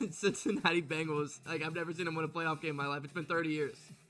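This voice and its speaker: Over music in the background, a man talks at a fairly quick pace and fairly high pitch in an animated tone. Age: 20s. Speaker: sports streamer. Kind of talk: live stream chat.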